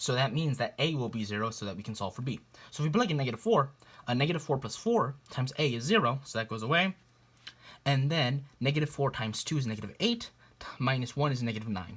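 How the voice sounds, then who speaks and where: Lively intonation rides on a very fast delivery. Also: man, medium pitch for a man. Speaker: math tutor. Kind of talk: tutorial. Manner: casual, with fillers.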